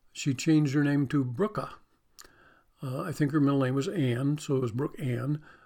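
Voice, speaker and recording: A man's fairly high voice with a dark, mellow tone in a very clean recording with a silent background. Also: long, frequent pauses. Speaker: preacher. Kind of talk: sermon. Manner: halting.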